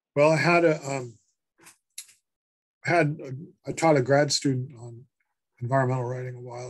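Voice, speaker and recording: Somewhat breathy, a man speaks at a medium pitch. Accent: American. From Massachusetts (Worcester). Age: 60s. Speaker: author and professor. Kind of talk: interview. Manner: halting, many fillers.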